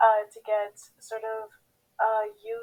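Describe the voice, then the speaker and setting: A woman's fairly high voice at a very slow pace. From Haiti. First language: Haitian Creole. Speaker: pageant contestant. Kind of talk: interview.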